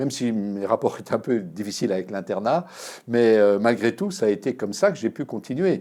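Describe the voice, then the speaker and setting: At a moderate pace, a man speaks in a medium-pitched, dark, mellow tone. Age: 60s. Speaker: historian. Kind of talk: interview. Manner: hesitant, many fillers.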